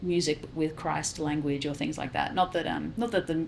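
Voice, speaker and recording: The voice carries vocal fry at a moderate pace. Its intonation is fairly even. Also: woman. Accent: Australian. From South Australia. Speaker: musician. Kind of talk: interview.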